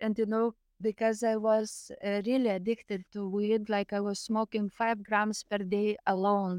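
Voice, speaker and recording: A woman's medium-pitched voice in a Lithuanian accent, monotone and flat at a fairly slow pace, dry and close with no echo on a very clean recording with a silent background. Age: 30s. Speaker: near-death experiencer, spiritual healer. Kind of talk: casual interview, storytelling.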